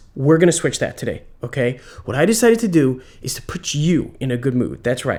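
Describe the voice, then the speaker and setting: Moving at a fairly quick pace, a man talks with very wide pitch swings. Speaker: video creator holding the camera. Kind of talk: casual vlog intro. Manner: fast.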